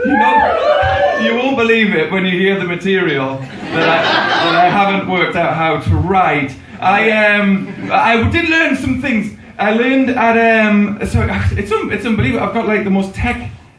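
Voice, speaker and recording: There is audible room echo and noticeable background noise. A man talks with lively intonation at a high pitch. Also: moderate pace. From northern England, Newcastle (Geordie). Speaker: stand-up comedian. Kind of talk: stand-up. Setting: stage with audience. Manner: halting.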